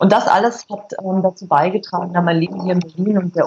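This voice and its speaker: Using an unremarkable speaking voice, a woman talks at a fairly quick pace with fairly even intonation. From Bavaria, Berchtesgaden. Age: 40s. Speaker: food blogger and filmmaker. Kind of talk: interview.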